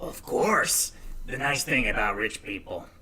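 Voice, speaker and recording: Fairly slow speech from a man in a put-on character voice, pitched fairly high. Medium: actual play. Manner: friendly, boastful.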